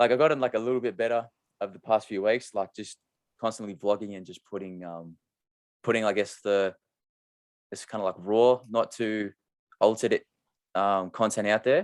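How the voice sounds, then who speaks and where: A man with an Australian accent and a fairly low pitch, with big swings in loudness and long, frequent pauses, in a dry, close sound with no echo. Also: moderate pace. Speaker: podcast host, clothing brand founder. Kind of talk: casual interview chat. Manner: monotone.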